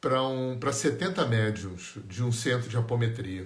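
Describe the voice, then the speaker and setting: A somewhat breathy man at medium pitch, ordinary pitch variation, audible room echo. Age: 60s. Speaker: energy healing teacher. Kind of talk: live stream talk. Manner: conversational.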